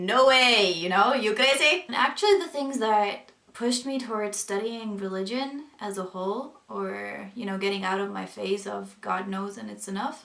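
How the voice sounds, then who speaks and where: This woman speaks at a moderate pace with hardly any pauses. Her voice is medium in pitch, with ordinary pitch variation and big swings in loudness. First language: not English. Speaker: vlogger sharing conversion story. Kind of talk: personal testimony vlog. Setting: away from home, self-recorded. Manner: casual, hesitant with fillers.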